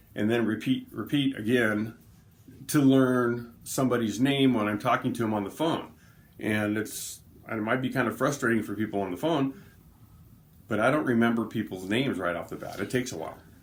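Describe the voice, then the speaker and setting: Fairly quick pace from a man at a medium pitch, with ordinary pitch variation. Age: 50s. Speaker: person living with MS, co-host. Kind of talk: casual chat. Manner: halting.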